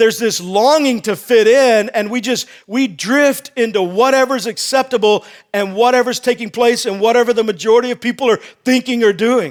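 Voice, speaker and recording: On a very clean recording with a silent background, a man with an American accent talks at a moderate pace in an extremely high pitch and an animated tone. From Texas. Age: 50s. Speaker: senior pastor. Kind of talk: sermon. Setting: church with live congregation. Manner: conversational, animated, repeats words.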